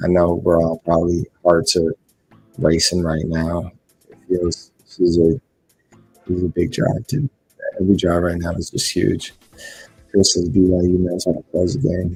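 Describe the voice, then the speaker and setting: A soft-spoken man whispers at a moderate pace, with big swings in loudness. The sound is dry and close with no echo, and music plays in the background. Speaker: sports fan streamer. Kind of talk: live reaction commentary. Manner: whispering, soft.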